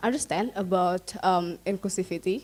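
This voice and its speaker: A woman with an Indonesian accent, medium in pitch, fairly even in intonation, at a fairly slow pace. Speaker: audience member asking a question. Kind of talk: Q&A question at academic seminar. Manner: halting, many fillers.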